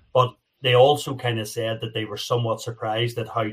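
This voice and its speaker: Speaking with an American accent, a man sounds somewhat breathy. His intonation is monotone and flat. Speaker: ice hockey commentator and former podcast panelist. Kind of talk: casual chat.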